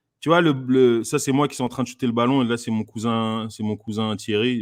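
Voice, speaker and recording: A man's medium-pitched voice. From France. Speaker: comedian. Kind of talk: casual chat. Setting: live stream. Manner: halting.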